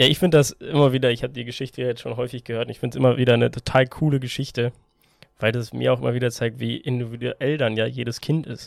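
A man rushes along at a very fast pace. His medium-pitched voice has monotone, flat intonation. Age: 20s. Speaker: podcast co-host and youth tennis coach. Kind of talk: casual chat. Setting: small room.

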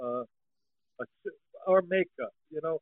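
A man talks with an American accent. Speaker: podcast co-host, song translator. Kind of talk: casual chat. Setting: online remote call.

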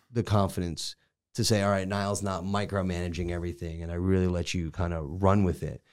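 With an American accent, fairly even intonation and a fairly quick pace, the speech comes through on a very clean recording with a silent background. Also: man, very deep, low pitch for a man. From Connecticut. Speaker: podcast host and real estate team leader. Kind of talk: casual interview chat.

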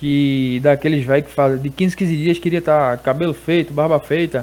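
A man with a plain, everyday voice, fairly high pitch and a fairly quick pace, on a very clean recording with a silent background. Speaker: barber. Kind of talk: casual chat. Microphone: feedback echo on his audio.

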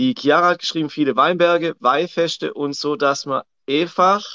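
A man with a Swabian accent, fairly slow pace and lively intonation. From Swabia, southern Germany. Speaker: coach. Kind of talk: casual chat. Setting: livestream on social media.

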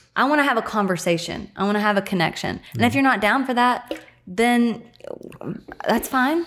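A woman's fairly high, a normal speaking voice with lively intonation, very even loudness and a moderate pace. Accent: American. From US small town. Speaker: podcast guest. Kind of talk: casual chat.

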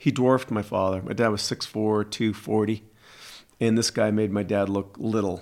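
With a very clean recording and a silent background, a man talks in a plain, everyday voice at a moderate pace, a fairly low pitch and fairly even intonation. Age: 60s. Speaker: podcast host. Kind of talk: casual chat.

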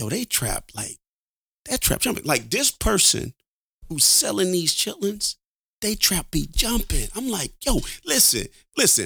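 A man at a fairly slow pace, with long, frequent pauses throughout. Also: very clean recording, silent background. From Alabama. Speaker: podcast host. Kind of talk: casual chat. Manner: animated.

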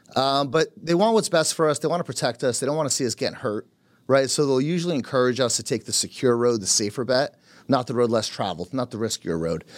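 A man with a New Jersey accent at a medium pitch, very fast pace and lively intonation, on a very clean recording with a silent background. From Carteret, New Jersey. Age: 30s. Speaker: real estate team leader. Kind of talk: casual chat.

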